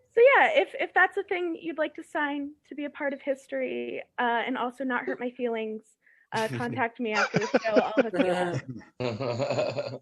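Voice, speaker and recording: The pace is moderate. Loudness swings widely. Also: woman. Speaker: stand-up comedian. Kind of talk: stand-up comedy set. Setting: live audience, public access recording. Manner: upbeat, casual delivery.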